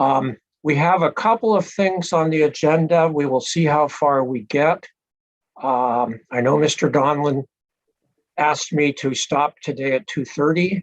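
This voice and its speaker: Dry and close with no echo, a man's normal speaking voice sits at a fairly high pitch. He talks at a fairly slow pace with ordinary pitch variation. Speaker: presiding hearing officer. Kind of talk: formal hearing proceedings. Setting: video call. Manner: formal, with frequent fillers.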